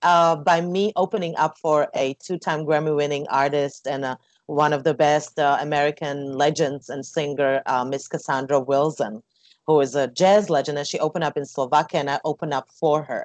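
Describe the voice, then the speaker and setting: Speaking at a fairly quick pace, a woman has a very deep, low pitch. Her intonation stays fairly even. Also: quiet background, dry sound with no echo. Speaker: interview guest. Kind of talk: interview answer. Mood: warm, smiling. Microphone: earbuds.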